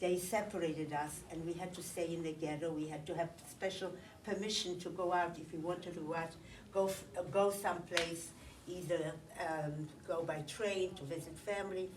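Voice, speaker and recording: In a room with audible echo and noticeable background noise, a woman with a fairly low pitch speaks at a moderate pace in a monotone, flat way. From Poland. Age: 80s+. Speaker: Holocaust survivor. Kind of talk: testimony. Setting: recorded interview. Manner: halting.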